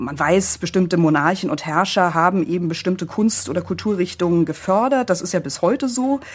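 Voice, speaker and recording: In an ordinary speaking voice, the speaker goes at a fairly quick pace with lively intonation and hardly any pauses. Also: woman, fairly low pitch for a woman. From East Germany. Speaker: publisher and author. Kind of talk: interview.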